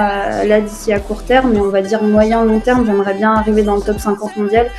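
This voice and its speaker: Music in the background under a woman's fairly high voice, moderate in pace, with monotone, flat intonation. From Réunion. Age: 20s. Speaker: beach tennis player. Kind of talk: interview answers. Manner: hesitant, many fillers.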